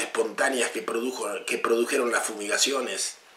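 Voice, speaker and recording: A man's voice comes through over noticeable background noise. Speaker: political commentator. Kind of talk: political commentary monologue. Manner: impassioned, rhetorical questions.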